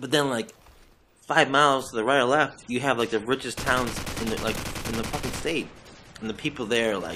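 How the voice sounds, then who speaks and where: Noticeable background noise sits behind a man speaking with a Boston accent. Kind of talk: gaming commentary. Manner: casual, rambling, profane.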